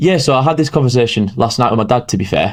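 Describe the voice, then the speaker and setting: Speaking at a medium pitch, a man talks with an English accent. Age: 20s. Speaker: entrepreneur. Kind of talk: podcast interview. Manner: halting.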